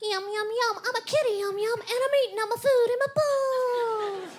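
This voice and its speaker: At a moderate pace, the speaker puts on a character voice with an extremely high pitch. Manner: silly, mocking, childish.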